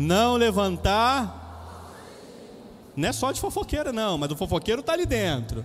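Someone speaks with a Brazilian accent. Music plays in the background. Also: man. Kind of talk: homily. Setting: church, Mass. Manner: animated, jokey; conversational, direct.

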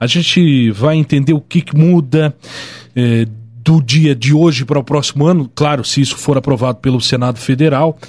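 This man's voice is somewhat breathy and fairly high in pitch. He keeps a moderate pace, fairly even intonation and very even loudness. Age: 20s. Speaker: radio host. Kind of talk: radio interview.

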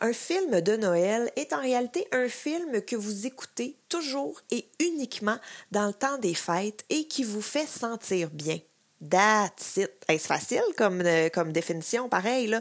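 Her pitch fairly high, a woman speaks very slowly with very wide pitch swings. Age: 30s. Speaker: pop culture columnist. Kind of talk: scripted chronicle. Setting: recorded at home.

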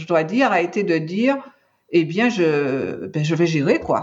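Speaking at a very slow pace, a woman with a medium-pitched voice moves through very wide pitch swings. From Martinique. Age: 60s. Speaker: cancer patient, patient advocate. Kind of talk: testimony. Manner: halting, frequent repetitions.

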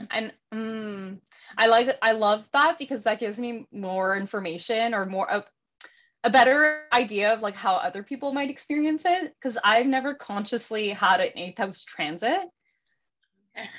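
This is an ordinary speaking voice from a woman with a Canadian accent and a fairly high pitch. Her intonation is lively and her pace moderate. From Ontario, Canada (Welland). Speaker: astrologer and yoga teacher. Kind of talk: casual interview chat.

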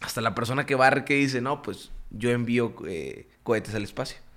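A man speaks in an animated tone at a moderate pace. The recording is very clean, with a silent background. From Mexico, Juárez, Nuevo León. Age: 20s. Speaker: network marketing entrepreneur. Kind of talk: podcast interview.

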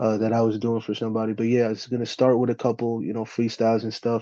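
With a New Jersey accent, a man speaks very fast at a medium pitch in a dark, mellow tone against a quiet background. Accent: New Jersey American English. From US, New Jersey. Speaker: battle rapper. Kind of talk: casual chat.

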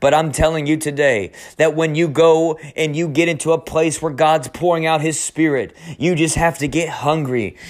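In a passionate tone, a man with a fairly high pitch speaks at a fairly quick pace. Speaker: preacher. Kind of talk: fiery charismatic sermon with prayer and altar-call urgency. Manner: passionate, urgent, exhorting, fired up, with call-and-response cues; rhythmic repetition and shouted praise, rising intensity.

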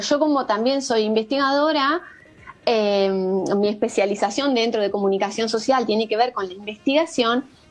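A woman talks fairly slowly in an ordinary speaking voice. Her pitch sits fairly high and her intonation is lively. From Argentina, rural Buenos Aires province. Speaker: screen-use parenting educator. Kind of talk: interview.

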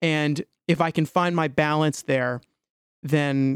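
In a dry, close sound with no echo, a man with a normal speaking voice talks at a fairly high pitch with fairly even intonation. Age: 20s. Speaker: solo spiritual podcaster. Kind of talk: solo monologue, stream of consciousness. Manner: casual, frequent fillers and restarts.

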